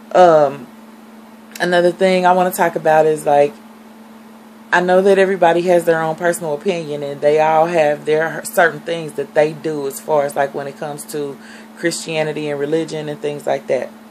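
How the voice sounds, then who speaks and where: A woman's very deep, low-pitched voice moves at a fairly quick pace with ordinary pitch variation, set against noticeable background noise. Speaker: vlogger, reborn doll collector. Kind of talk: casual vlog monologue. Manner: fast.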